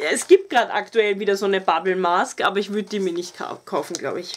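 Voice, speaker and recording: In an Austrian accent, a woman talks at a very fast pace with an animated tone. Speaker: beauty YouTuber. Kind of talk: casual product review vlog. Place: home room. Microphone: camera far.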